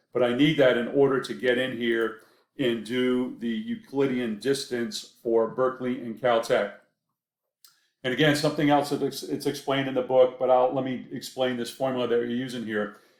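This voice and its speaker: A man speaks in a slight Maine accent at a medium pitch. His intonation is fairly even. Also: moderate pace. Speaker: professor. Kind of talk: lecture. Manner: hesitant, many fillers.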